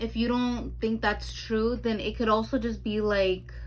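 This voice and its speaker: Fairly slow speech from a woman in a room with audible echo. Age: 20s. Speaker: tarot reader. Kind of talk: tarot reading monologue. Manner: halting, stumbling over words.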